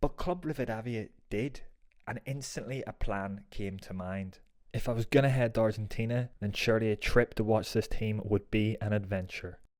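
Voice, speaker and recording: A man in a Northern Irish accent talks at a moderate pace with ordinary pitch variation, on a very clean recording with a silent background. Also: medium pitch for a man. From Northern Ireland, Belfast. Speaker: football vlogger. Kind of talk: travel vlog narration.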